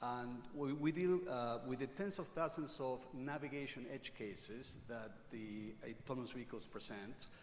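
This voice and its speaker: Audible room echo surrounds a man who speaks at a moderate pace and medium pitch with ordinary pitch variation. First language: not English. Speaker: technology company speaker. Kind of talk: conference presentation. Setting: stage with audience.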